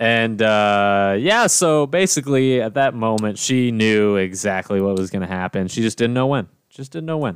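A man speaks at a moderate pace with lively intonation and a medium pitch. His is a plain, everyday voice on a very clean recording with a silent background. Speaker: podcast host. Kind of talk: casual banter podcast chat. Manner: joking, talkative.

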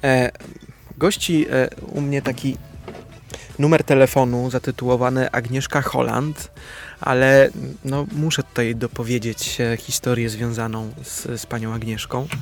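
Over music in the background, a man talks at a fairly slow pace with fairly even intonation. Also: medium pitch for a man. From Upper Silesia, Poland (Łaziska Górne). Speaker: actor. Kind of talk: radio interview. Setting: studio.

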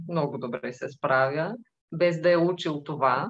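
The tone is calm. The pace is fairly slow. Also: woman. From Bulgaria, Tervel near Dobrich. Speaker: furniture workshop owner and icon maker. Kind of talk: interview.

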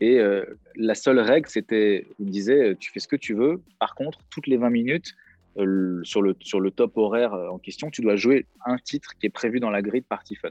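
A man speaks at a moderate pace with a medium pitch and an unremarkable speaking voice. His pitch varies in an ordinary way. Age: 30s. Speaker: DJ and music producer. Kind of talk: casual chat.

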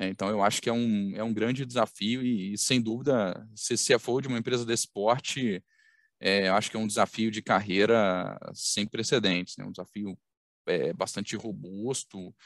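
Against a quiet background, a man with a fairly low pitch speaks at a moderate pace with fairly even intonation, in a dry, close sound with no echo. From Minas Gerais, Brazil (Belo Horizonte). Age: 30s. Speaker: company executive. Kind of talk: interview. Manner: halting, many fillers.

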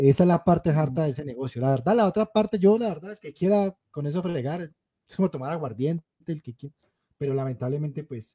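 Lively intonation and big swings in loudness mark this man's fairly high voice. His tone is dark and mellow, and the sound is dry and close with no echo. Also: fairly quick pace. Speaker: podcast host. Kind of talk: casual chat. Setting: live stream.

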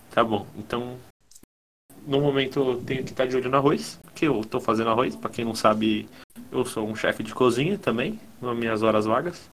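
A man speaks at a moderate pace in a medium pitch with ordinary pitch variation. His is a plain, everyday voice. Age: 20s. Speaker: podcast co-host. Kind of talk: casual chat.

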